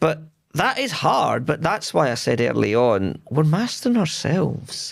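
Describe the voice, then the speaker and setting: In a Scottish accent, a man talks at a fairly slow pace and a fairly high pitch, with vocal fry, very wide pitch swings and very even loudness. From Scotland. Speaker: tech leader, podcast guest. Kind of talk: casual interview chat.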